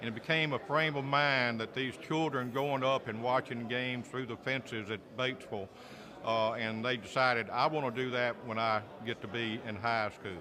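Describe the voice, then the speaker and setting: Man with a Southern US accent, medium pitch, ordinary pitch variation and a moderate pace. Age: 60s. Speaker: sports play-by-play announcer. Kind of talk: press interview.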